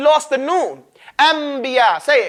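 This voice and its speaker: An animated man's voice, bright and sharp, extremely high in pitch with ordinary pitch variation, on a very clean recording with a silent background. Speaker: Quran recitation teacher. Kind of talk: lecture. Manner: fast.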